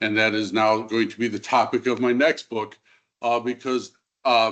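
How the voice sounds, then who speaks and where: A moderate pace and fairly even intonation over a quiet background. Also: man. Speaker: historian. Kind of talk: lecture. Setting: stage with audience. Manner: loud.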